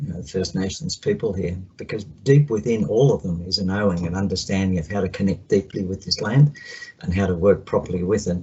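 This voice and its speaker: With an Australian accent, a man with a very deep, low pitch talks at a fairly quick pace, somewhat breathy, with ordinary pitch variation. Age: 60s. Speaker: counsellor. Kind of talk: video call check-in.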